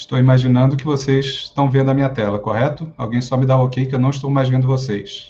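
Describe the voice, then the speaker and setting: A man speaks very fast with hardly any pauses. His medium-pitched voice stays flat and monotone. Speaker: fire brigade officer and psychologist. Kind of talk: lecture.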